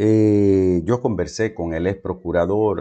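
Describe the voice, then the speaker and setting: A man's very deep, low voice with a dark, mellow tone over a quiet background. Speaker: news commentator. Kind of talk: news commentary. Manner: animated.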